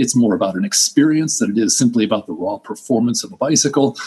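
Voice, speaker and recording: A man speaks very fast with an American accent. His fairly high pitch swings very widely. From US East Coast. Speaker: bicycle builder and business owner. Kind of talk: interview.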